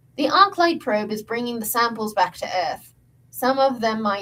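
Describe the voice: Someone is doing plain reading aloud. The reading stays plain all through.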